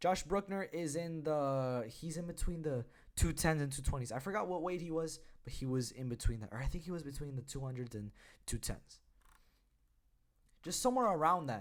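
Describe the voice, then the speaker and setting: A man talks at a fairly quick pace with lively intonation and a fairly high pitch. His speech breaks into long, frequent pauses. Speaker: combat sports YouTuber. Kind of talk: casual commentary video. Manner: halting, self-correcting.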